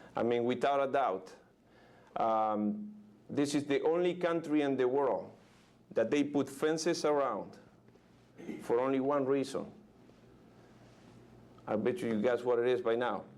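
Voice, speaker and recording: Speaking at a fairly slow pace with long, frequent pauses, a man with a medium pitch and a Uruguayan accent keeps his loudness very even and his pitch variation ordinary. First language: Spanish. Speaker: motivational speaker. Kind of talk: motivational keynote speech. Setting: live audience, conference room. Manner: enthusiastic.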